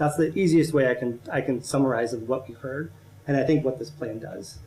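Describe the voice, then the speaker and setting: A man with an American accent has a dark, mellow, somewhat breathy voice of medium pitch with ordinary pitch variation. He talks at a fairly quick pace with audible room echo. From Central Ohio. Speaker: urban planning consultant. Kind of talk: presentation to city council. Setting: council meeting. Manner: halting, with frequent restarts.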